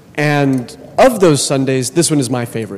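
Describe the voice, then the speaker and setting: Against noticeable background noise, a man at medium pitch speaks at a fairly quick pace. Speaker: Orthodox priest. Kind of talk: sermon. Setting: church. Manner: casual, conversational.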